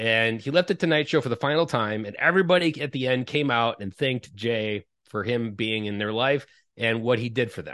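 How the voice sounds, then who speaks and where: Against a quiet background, a man with an unremarkable speaking voice talks fairly quickly at a medium pitch, with ordinary pitch variation. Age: 30s. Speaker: parenting coach. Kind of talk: casual interview conversation.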